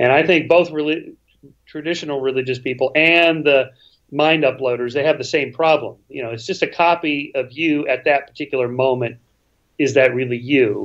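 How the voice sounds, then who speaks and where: A plain, everyday voice belongs to a man who talks at a moderate pace with fairly even intonation. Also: fairly high pitch for a man, quiet background. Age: 60s. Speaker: author and skeptic, interview guest. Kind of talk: casual interview conversation. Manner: many restarts and repetitions.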